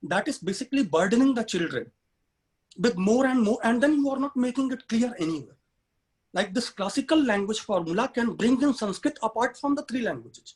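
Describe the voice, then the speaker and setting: Extremely high in pitch, a man talks with an Indian accent. His intonation is lively and his pace fairly quick. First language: Hindi. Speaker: human rights activist and education consultant. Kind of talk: webinar talk.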